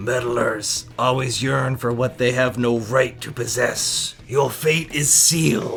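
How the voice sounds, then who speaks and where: Over clear background noise, a man in a put-on character voice speaks at a fairly slow pace and medium pitch with hardly any pauses. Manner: ominous, threatening.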